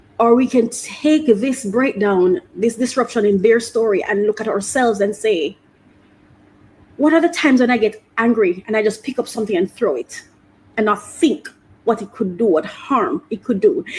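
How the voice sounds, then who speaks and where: A woman speaks with fairly high pitch and lively intonation. Her voice is somewhat breathy. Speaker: podcast host. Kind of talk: solo podcast monologue. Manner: fast; halting, many repetitions.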